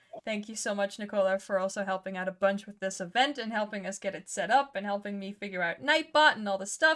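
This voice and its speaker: Speaking with a Dutch accent, a woman uses a fairly high pitch and lively intonation at a fairly quick pace, on a very clean recording with a silent background. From Netherlands. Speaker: dungeon master and streamer. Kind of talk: casual chat. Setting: live stream.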